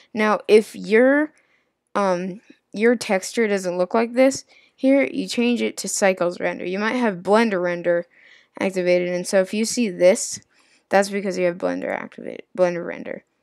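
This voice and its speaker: Her medium pitch and ordinary pitch variation come through a very clean recording with a silent background as the woman speaks at a moderate pace. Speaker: software tutorial creator. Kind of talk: tutorial. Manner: halting, stumbling over words.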